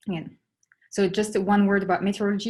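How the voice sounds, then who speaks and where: A woman talks at a fairly quick pace with a French accent. Her voice is somewhat breathy. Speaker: astronomer. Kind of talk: lecture. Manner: halting.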